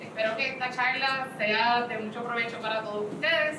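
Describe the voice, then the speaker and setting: A woman speaks over noticeable background noise, with audible echo in the room. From Puerto Rico. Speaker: insurance expert, conference speaker. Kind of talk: conference talk. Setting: stage with audience at fair.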